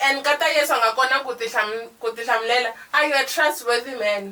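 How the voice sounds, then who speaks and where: Loud and very fast, a woman speaks with a high pitch and fairly even intonation over noticeable background noise. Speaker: podcast co-host. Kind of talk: casual chat.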